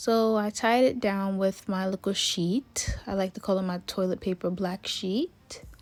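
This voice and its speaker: A woman talks at a fairly slow pace with hardly any pauses and fairly even intonation. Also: medium pitch for a woman. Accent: Jamaican. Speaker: hair and wig tutorial creator. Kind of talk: tutorial. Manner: casual, chatty.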